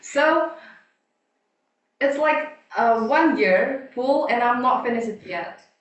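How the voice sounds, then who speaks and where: Audible room echo around a female voice of ordinary pitch variation. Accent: Indonesian. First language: Indonesian. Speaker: student, table topic speaker. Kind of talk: impromptu speech. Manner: halting.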